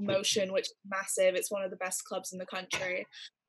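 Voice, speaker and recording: A woman with an American accent, monotone and flat in intonation, over a quiet background. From California. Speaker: university student. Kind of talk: interview answer. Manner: casual, chatty. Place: home room. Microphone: video call.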